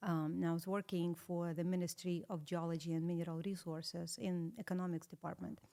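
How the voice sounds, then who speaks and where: With a slight Russian accent, a woman speaks at a fairly quick pace in a fairly low pitch, her tone dark and mellow and her intonation fairly even. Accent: slight, atypical Russian. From Russia (Saratov). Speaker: interview guest. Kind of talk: casual interview.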